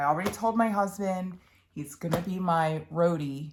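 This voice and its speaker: A woman in a Philadelphia accent talks at a fairly slow pace with ordinary pitch variation. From Philadelphia, Pennsylvania. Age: 30s. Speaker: cross-stitch vlogger. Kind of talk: casual chat. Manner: chatty, with many fillers.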